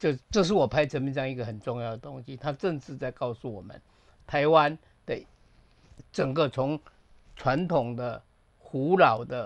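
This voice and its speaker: This is an ordinary speaking voice at a moderate pace with ordinary pitch variation, set against a quiet background. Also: man. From Taiwan. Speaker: film director. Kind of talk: casual chat.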